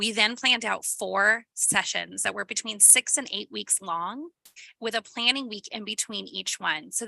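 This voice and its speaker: A woman speaks at a moderate pace and fairly high pitch, her tone bright and sharp with vocal fry. Her pitch variation is ordinary, and the sound is dry and close with no echo. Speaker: school principal. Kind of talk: presentation. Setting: school board meeting. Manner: loud.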